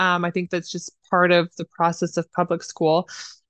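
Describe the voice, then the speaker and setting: A woman's fairly quick speech in an American accent, dry and close with no echo, against a quiet background. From Idaho, US. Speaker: counseling graduate student. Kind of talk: interview.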